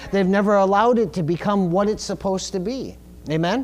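Amid audible room echo, a man with a high pitch talks at a moderate pace. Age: 40s. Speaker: pastor. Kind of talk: sermon.

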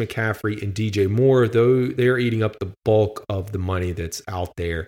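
A man with a plain, everyday voice at a fairly slow pace, on a very clean recording with a silent background. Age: 30s. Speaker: sports podcast host. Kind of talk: solo podcast commentary.

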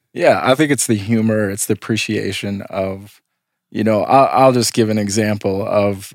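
A man speaks in an ordinary speaking voice with fairly low pitch. His pitch variation is ordinary. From US Midwest. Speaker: podcast host. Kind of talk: casual interview.

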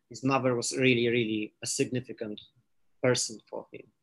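A man talks at a moderate pace with a Polish accent. His pitch is medium and his intonation monotone and flat. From Poland. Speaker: philosophy scholar. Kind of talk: interview. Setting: video call.

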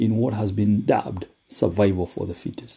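A man talks at a fairly slow pace in a fairly low, somewhat breathy voice with a dark, mellow tone. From Kenya. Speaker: motivational podcaster. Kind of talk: motivational talk. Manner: hesitant with frequent fillers.

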